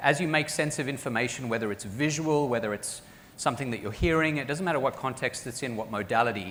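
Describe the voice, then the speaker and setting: With audible room echo, a man with an American accent speaks very fast at a medium pitch, his pitch varying in an ordinary way. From Australia and South Africa. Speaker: professor. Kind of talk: conference talk.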